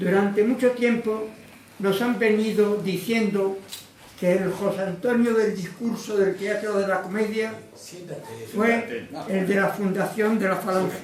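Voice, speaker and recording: Over noticeable background noise and audible room echo, a man with a high pitch talks at a fairly slow pace in a monotone, flat intonation, leaving long, frequent pauses. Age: 90s. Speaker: lecturer, former trade unionist. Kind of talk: lecture.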